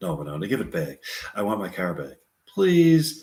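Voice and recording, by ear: In a put-on character voice, a man speaks low at a moderate pace, his slightly mellow tone making very wide pitch swings.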